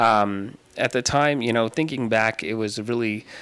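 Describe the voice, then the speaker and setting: A man with an American accent speaks at a medium pitch and a fairly slow pace. His tone is bright and sharp, with ordinary pitch variation. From Tucson, Arizona. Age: 30s.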